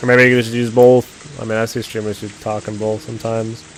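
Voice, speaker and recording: Someone mumbles at a moderate pace. The words come out low and slurred. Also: man. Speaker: streamer. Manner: mumbling, lazy delivery.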